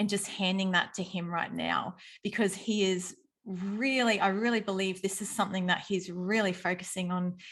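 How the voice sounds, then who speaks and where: A woman's medium-pitched voice at a moderate pace, monotone and flat, over a quiet background. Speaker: podcast host. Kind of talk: interview question.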